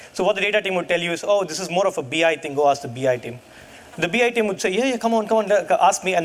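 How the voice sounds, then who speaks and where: A man races along very fast, his intonation lively, while noticeable noise sounds in the background. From India. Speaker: data science leader, conference speaker. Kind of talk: keynote talk. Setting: stage with audience.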